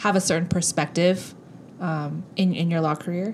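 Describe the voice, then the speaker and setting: A woman speaks at a moderate pace in a fairly low pitch. She has a normal speaking voice with fairly even intonation. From Southern California, Korean American (born in South Korea). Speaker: podcast co-host. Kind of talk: casual chat.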